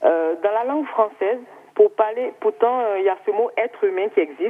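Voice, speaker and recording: A woman's fairly high voice with an Ivorian accent, fairly slow pace and very wide pitch swings. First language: Baoulé (speaking French). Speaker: TV viewer caller. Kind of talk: call-in comment. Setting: phone call.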